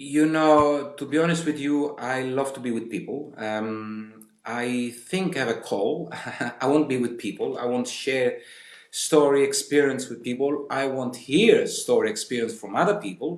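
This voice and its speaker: With an Italian accent, a man speaks at a moderate pace. His voice sits fairly high and shows ordinary pitch variation. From Italy, Sicily. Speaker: tour guide. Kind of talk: casual interview.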